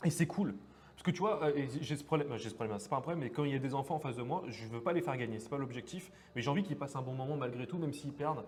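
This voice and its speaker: Talking very fast, a man has a fairly high pitch and ordinary pitch variation. Noticeable background noise runs underneath. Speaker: card game stream commentator. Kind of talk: live commentary. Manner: animated.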